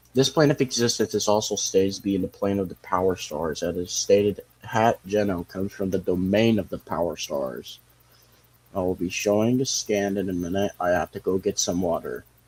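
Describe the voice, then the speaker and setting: A man with a plain, everyday voice, fairly low pitch, ordinary pitch variation and a fairly quick pace. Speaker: streamer. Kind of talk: casual livestream commentary.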